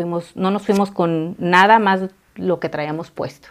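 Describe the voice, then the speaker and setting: Very slow in pace, a woman talks at a fairly low pitch. Her pitch varies in an ordinary way. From Mexico, raised in California and Texas from age 7. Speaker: working mother, immigrant. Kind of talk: interview.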